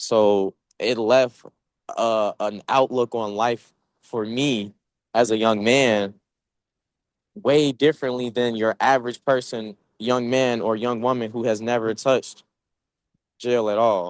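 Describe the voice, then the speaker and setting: Medium in pitch, a man speaks at a fairly slow pace with fairly even intonation and long, frequent pauses. The sound is dry and close, with no echo. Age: 20s. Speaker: youth panelist with justice system experience. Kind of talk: panel discussion.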